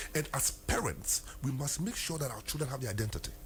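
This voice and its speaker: A man talks with a Ghanaian accent. There is noticeable background noise. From Ghana, Asante. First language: Twi. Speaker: lawyer. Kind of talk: interview.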